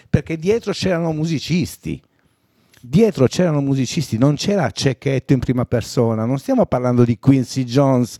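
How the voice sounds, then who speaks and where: In a very clean recording with a silent background and a dry, close sound with no echo, a man with a Sardinian accent speaks at a moderate pace, his medium-pitched voice dark and mellow in tone with very wide pitch swings. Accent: Sardinian-accented Italian. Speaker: songwriter and singer. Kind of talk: casual interview chat. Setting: studio.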